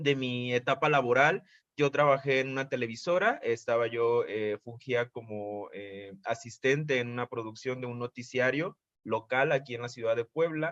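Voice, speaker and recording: In a dry, close sound with no echo, a man speaks at a medium pitch and moderate pace with ordinary pitch variation. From Mexico, Veracruz. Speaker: photographer and artist. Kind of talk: interview. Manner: hesitant, many fillers.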